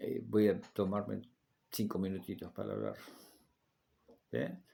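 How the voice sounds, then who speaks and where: A man's fairly slow speech in audible room echo. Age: 60s. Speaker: Bible teacher. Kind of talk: lecture; personal testimony. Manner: halting.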